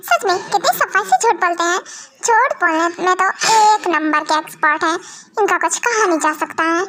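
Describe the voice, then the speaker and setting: The put-on character voice moves at a moderate pace with very even loudness. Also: woman, extremely high pitch for a woman. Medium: fan dub. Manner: chatty, expressive.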